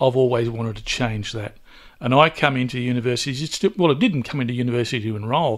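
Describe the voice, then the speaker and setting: On a very clean recording with a silent background, a man with an Australian accent speaks very fast at a medium pitch. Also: ordinary pitch variation. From Newcastle, New South Wales, Australia. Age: 60s. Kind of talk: interview.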